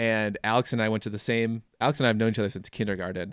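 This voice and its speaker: A man's fairly low voice with an American accent, fairly even intonation and a fairly quick pace, on a very clean recording with a silent background and a dry, close sound with no echo. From Minnesota, US Upper Midwest. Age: 20s. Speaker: podcast host. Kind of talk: casual interview chat.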